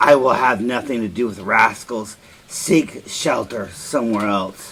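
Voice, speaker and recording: In a put-on character voice, a man speaks gruffly at a fairly slow pace and a medium pitch. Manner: surly, unfriendly.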